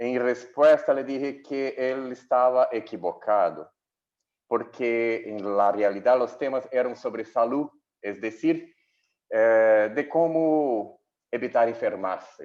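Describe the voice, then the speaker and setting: The speaker has a Portuguese accent. The pace is very slow with ordinary pitch variation. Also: man, medium pitch for a man. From Brazil. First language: Portuguese (speaking Spanish). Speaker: health journalist. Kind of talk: conference talk. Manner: halting.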